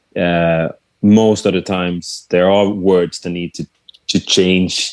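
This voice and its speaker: A fairly slow voice in a Swedish accent, with monotone, flat intonation and a dry, close sound with no echo. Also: man. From Sweden. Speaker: musician and songwriter. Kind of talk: casual interview chat. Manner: halting, many fillers.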